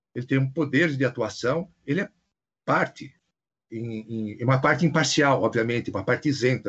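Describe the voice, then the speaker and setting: There's a somewhat breathy quality to this man's voice. He keeps a moderate pace with ordinary pitch variation. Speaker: federal prosecutor. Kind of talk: video interview. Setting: video call.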